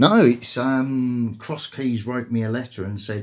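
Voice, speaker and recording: A man speaks in a somewhat breathy voice. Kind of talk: phone complaint conversation. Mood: aggrieved, hesitant complaint.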